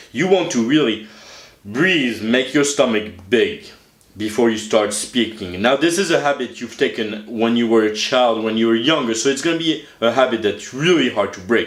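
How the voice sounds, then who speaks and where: This man has a plain, everyday voice at a medium pitch. He talks at a moderate pace. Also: lively intonation. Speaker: self-help channel host. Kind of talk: casual talk to camera, instructional tutorial.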